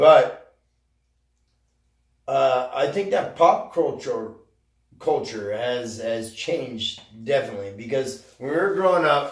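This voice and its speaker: A man with an American accent at a very slow pace, with long, frequent pauses and audible room echo. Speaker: video podcast co-host. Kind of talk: casual chat.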